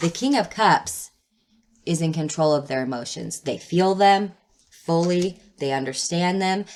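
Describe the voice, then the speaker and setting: With an ordinary speaking voice, a woman talks at a fairly slow pace and fairly low pitch, her intonation lively. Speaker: tarot reader. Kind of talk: tarot reading. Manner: casual, filler words.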